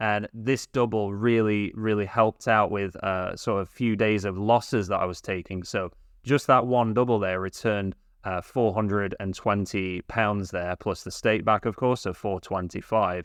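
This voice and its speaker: At a moderate pace, a man speaks with a fairly low pitch and fairly even intonation over a quiet background. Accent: British. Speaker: sports betting youtuber. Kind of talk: tutorial. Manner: hesitant, with fillers.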